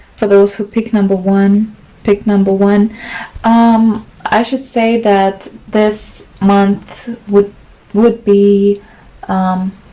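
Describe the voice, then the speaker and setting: Against noticeable background noise, a woman speaks very slowly in a monotone, flat intonation. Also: medium pitch for a woman. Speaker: tarot reader. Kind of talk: tarot reading. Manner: halting.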